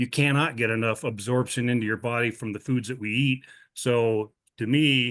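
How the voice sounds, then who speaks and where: A man speaks in an ordinary speaking voice with an American accent, at medium pitch and a moderate pace. His intonation is fairly even, and the background is quiet. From Montana. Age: 60s. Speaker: customer giving product testimonial. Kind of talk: testimony. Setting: video call.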